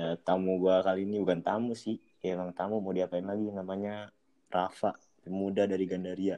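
This man has a very deep, low pitch and a dark, mellow tone. He speaks fairly quickly in a monotone, flat way. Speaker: podcast host. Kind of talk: casual chat between friends. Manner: joking, slangy, informal.

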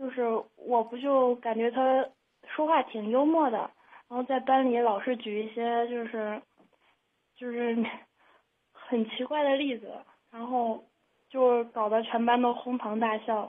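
Speaking at a fairly slow pace, a woman with a high pitch keeps a monotone, flat intonation and leaves long, frequent pauses. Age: young. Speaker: caller. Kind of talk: advice call-in. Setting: phone call. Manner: halting.

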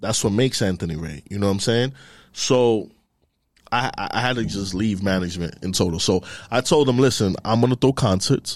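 On a very clean recording with a silent background, a man with a New York accent talks at a fairly quick pace in a fairly low pitch, with ordinary pitch variation. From New York, the Bronx. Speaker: music industry marketing executive. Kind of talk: casual chat.

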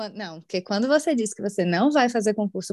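On a very clean recording with a silent background and a dry, close sound with no echo, a woman with a plain, everyday voice speaks at a fairly high pitch with lively intonation. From Brazil, Salvador. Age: 20s. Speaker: customer experience analyst. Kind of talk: casual interview chat.

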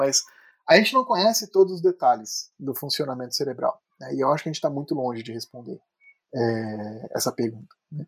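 This man talks at a moderate pace with a fairly high pitch, in a dry, close sound with no echo. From Brazil, Petrópolis (Rio de Janeiro state). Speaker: neuroscience professor. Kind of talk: interview. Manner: halting, many fillers.

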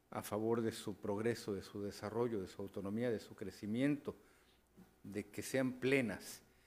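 A man talks at a fairly slow pace, with medium pitch and fairly even intonation. He has a plain, everyday voice. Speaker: radio news host. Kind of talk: radio talk show.

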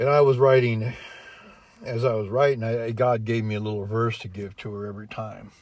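This man has a medium-pitched, unremarkable speaking voice and talks at a fairly quick pace. His loudness swings widely while his intonation stays fairly even. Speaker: former dairy farmer. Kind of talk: casual chat.

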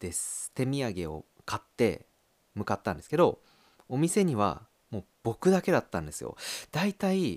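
The voice moves in very wide pitch swings and big swings in loudness at a moderate pace with long, frequent pauses, on a very clean recording with a silent background and a dry, close sound with no echo. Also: man, medium pitch for a man. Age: 30s. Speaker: podcast host, office worker. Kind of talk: casual monologue.

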